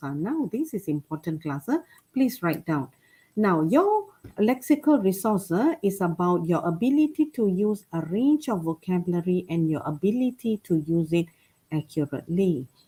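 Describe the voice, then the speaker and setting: Somewhat breathy with a dark, mellow tone, a woman at a medium pitch talks at a moderate pace with very wide pitch swings. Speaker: lecturer on English exam writing. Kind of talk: webinar lecture. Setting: online webinar. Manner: soft-spoken.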